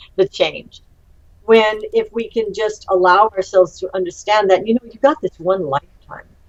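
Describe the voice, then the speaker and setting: A woman with a fairly high pitch and lively intonation, in a plain, everyday voice. She talks at a moderate pace, and the sound is dry and close with no echo. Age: 60s. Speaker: UFO conference co-founder. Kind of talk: interview.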